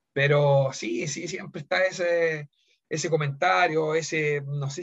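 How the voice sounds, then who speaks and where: A man's fairly high voice moves with fairly even intonation. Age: 40s. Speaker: former footballer and football coach. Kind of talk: interview. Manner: halting.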